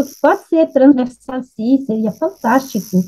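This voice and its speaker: With a dark, mellow tone and a high pitch, a woman speaks at a fairly slow pace. Her intonation is lively. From France. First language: French (speaking Portuguese). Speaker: nutrition expert. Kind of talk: panel discussion.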